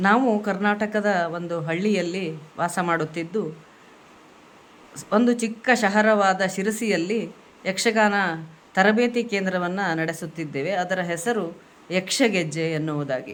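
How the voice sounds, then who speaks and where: A woman with a Kannada accent and a medium-pitched voice. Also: ordinary pitch variation. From Karnataka, India. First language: Kannada (speaking Hindi). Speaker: Yakshagana dance teacher. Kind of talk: video message.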